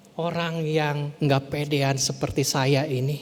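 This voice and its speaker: Someone with a West Javanese accent speaks at a very slow pace amid audible room echo and noticeable background noise. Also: man. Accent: Sundanese. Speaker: pastor. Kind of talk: sermon. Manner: halting, sometimes stumbling over words.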